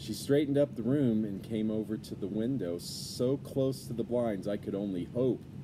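With ordinary pitch variation, the text is read aloud plainly.

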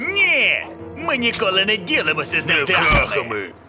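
Putting on a cartoonish character voice, a man speaks high-pitched with a bright, sharp tone and very wide pitch swings as faint music plays in the background. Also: moderate pace.

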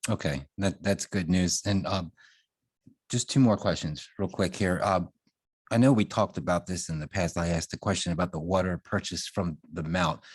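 On a very clean recording with a silent background and a dry, close sound with no echo, a man with a very deep, low voice talks at a moderate pace with ordinary pitch variation. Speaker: town commissioner. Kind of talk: public meeting questions. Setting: town board meeting. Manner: soft-spoken.

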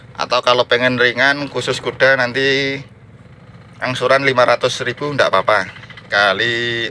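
Light background noise runs under a man speaking at a fairly slow pace. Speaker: used car dealer. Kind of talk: pitchman sales patter, rattling off car listings with prices and installments. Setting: outdoors at the car lot in the rain. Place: garage. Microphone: phone near.

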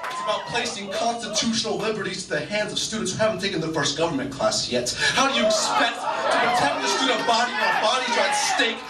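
Over clear background noise and clear crowd noise, a man talks fast in a high pitch with big pitch swings, few pauses and audible room echo.

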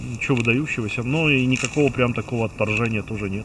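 A man talks with ordinary pitch variation over noticeable background noise, the sound dry with no echo. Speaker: outdoor ration reviewer. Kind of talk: casual review commentary. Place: open country.

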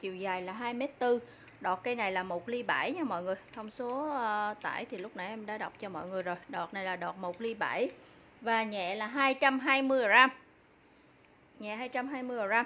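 A bright, sharp tone comes through at a fairly slow pace over light background noise. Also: woman, ordinary pitch variation. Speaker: seller presenting fishing rods. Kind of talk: product presentation. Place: shop. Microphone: phone near.

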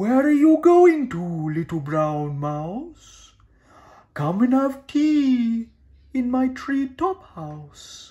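The speaker puts on a character voice at a very slow pace. The pitch swings very widely. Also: man, extremely high pitch for a man. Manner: hooting, genteel, startled.

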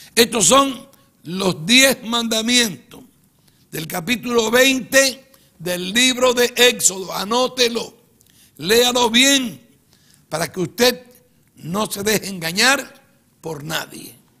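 A man with an extremely high pitch uses a raised, projected voice at a very slow pace. Long, frequent pauses stand out against a quiet background. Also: ordinary pitch variation. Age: 70s. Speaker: pastor. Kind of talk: sermon. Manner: emphatic. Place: studio.

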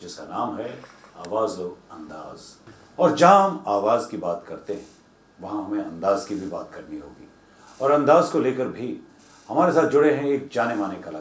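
With long, frequent pauses and audible room echo, a man speaks at a fairly slow pace, his pitch swinging very widely and his loudness shifting a lot. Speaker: TV show host. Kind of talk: show host introduction. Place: studio.

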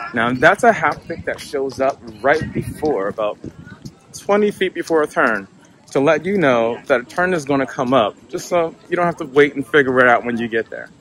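An unremarkable speaking voice from a man with an American accent, fairly high pitch, lively intonation and a moderate pace, dry with no echo over light background noise. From United States. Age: 40s. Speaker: tech company cofounder. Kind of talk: product demo narration. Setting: outdoors. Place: open country.

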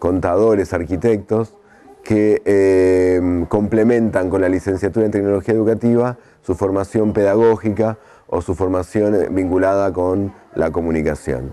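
With a dark, mellow tone and low pitch, a man speaks at a moderate pace with fairly even intonation and few pauses.

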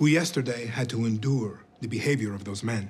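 A man's pitch shows ordinary variation. Light background noise is present. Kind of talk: formal speech to employees. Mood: calm, measured, solemn. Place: cafe.

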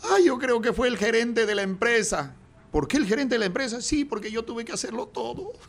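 A man talks at an extremely high pitch. His intonation is lively. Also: fairly quick pace. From Peru. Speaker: comedian and radio announcer; comedian, radio announcer. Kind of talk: casual interview chat; telling jokes in an interview. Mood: jovial, joke telling. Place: studio. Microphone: studio mic.

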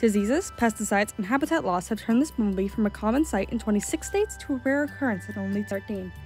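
A woman at a very fast pace with music in the background. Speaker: student animator. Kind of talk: educational narration. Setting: home recording, non-professional mic. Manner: rushed.

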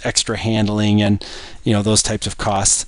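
The man's voice sits fairly low. He talks at a moderate pace. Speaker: engineer. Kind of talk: screen-recorded spreadsheet tutorial. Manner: hesitant, many filler sounds.

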